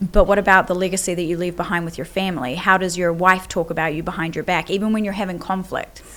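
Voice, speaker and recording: With a New Zealand accent and noticeable background noise, a woman speaks very fast at a medium pitch with fairly even intonation. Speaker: business coach. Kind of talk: podcast interview. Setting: at a live event venue.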